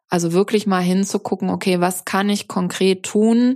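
This woman's voice sits fairly low and her intonation stays fairly even. She speaks at a very slow pace. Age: 50s. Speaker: business mentor. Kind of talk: casual chat. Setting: video call.

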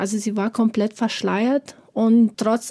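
A dark, mellow, somewhat breathy voice comes through dry and close with no echo, in a very clean recording with a silent background. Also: woman. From Afghanistan. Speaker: preschool teacher. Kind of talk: personal testimony. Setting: studio.

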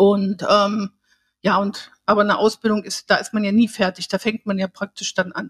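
At a moderate pace, a woman speaks at medium pitch in a monotone, flat intonation, somewhat breathy, in a dry, close sound with no echo. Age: 60s. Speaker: learning therapist. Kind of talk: interview. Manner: halting.

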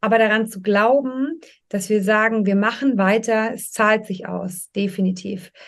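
A woman with a normal speaking voice talks at a fairly slow pace and a fairly high pitch, her intonation fairly even but with big swings in loudness, over a quiet background. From Munich, Bavaria. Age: 40s. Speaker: business coach. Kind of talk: interview.

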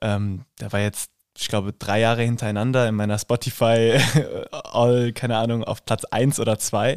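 A man's monotone, flat delivery in a dry, close sound with no echo. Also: medium pitch for a man, moderate pace, very clean recording, silent background. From Hesse, Rüsselsheim. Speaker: drama student and actor. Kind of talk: casual chat.

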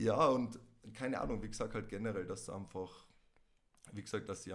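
A man at a moderate pace with a Tyrolean accent. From Tyrol, Austria. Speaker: podcast guest, host's ex. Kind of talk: casual chat.

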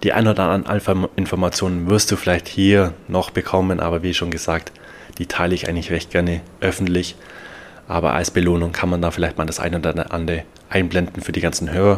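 Over noticeable background noise, a man with a very deep, low pitch races along at a very fast pace in a monotone, flat intonation. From Bavaria, Germany. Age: 20s. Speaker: podcast host and NFT coach. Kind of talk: solo podcast monologue.

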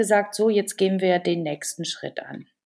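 A woman's voice at a moderate pace. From Germany. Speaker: volunteer team leader and shop owner. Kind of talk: interview. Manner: hesitant, many fillers.

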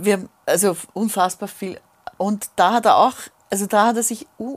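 A woman with a medium pitch and fairly even intonation speaks in an unremarkable speaking voice. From Vienna, Grinzing. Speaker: singer. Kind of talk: casual chat.

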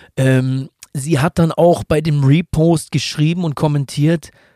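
A man's fairly high, plain, everyday voice at a fairly slow pace, with fairly even intonation and a dry, close sound with no echo. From Hamburg, northern Germany. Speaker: tattoo artist and real estate entrepreneur. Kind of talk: casual chat.

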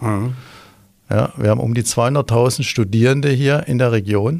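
On a very clean recording with a silent background, a man speaks fairly slowly at medium pitch with lively intonation. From Swabia, Stuttgart. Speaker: tourism executive. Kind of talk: interview.

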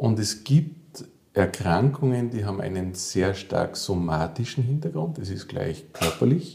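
A man's fairly low, somewhat breathy voice, dark and mellow in tone, with very wide pitch swings at a fairly slow pace. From Austria, Salzburg. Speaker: physiotherapist and psychotherapist. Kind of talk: interview. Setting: therapy practice.

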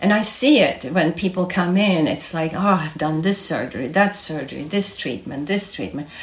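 In a Swedish accent, the speaker moves at a moderate pace with lively intonation and hardly any pauses, over noticeable background noise. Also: woman, fairly low pitch for a woman. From Sweden. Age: 60s. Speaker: health institute director. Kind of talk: interview.

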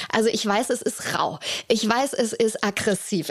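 Her voice is a normal speaking voice, pitched fairly high for a woman. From Hamburg, northern Germany. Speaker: podcast host. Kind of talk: casual interview chat. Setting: in person, sitting in an armchair in Hamburg.

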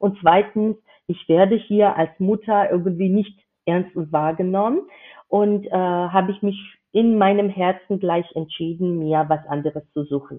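A woman speaks in a Georgian accent at medium pitch. Her intonation is fairly even and her pace fairly slow. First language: Georgian (speaking German). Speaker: intercultural business founding consultant. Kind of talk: interview. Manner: halting, many filler sounds.

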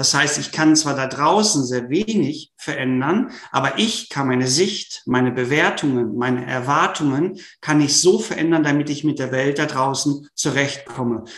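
The speech runs with hardly any pauses over noticeable background noise. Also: man, fairly high pitch for a man, ordinary pitch variation, moderate pace. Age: 40s. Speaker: sports psychology professor. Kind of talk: interview.

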